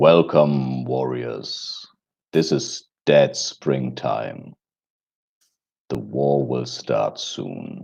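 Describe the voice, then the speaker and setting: A man puts on a booming character voice with a very deep, low pitch. He goes at a very slow pace with long, frequent pauses. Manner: solemn, announcing.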